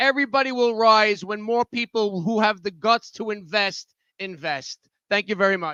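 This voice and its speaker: A man's raised, projected voice, high in pitch and bright and sharp in tone, at a moderate pace with ordinary pitch variation, in a dry, close sound with no echo. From Coney Island, Brooklyn, New York. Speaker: restaurant owner. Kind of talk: public hearing testimony.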